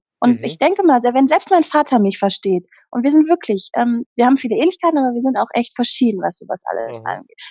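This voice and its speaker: Dark, mellow tones come very fast with hardly any pauses, and the pitch swings very widely. The sound is dry and close, with no echo. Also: woman, high pitch for a woman. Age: 30s. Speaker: happiness coach. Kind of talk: interview. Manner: animated.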